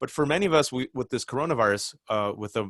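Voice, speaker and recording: Here is a man with an ordinary speaking voice and an American accent. His pitch varies in an ordinary way, and the sound is dry and close with no echo. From California, Bay Area. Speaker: writer and commentator. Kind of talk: interview. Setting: video call.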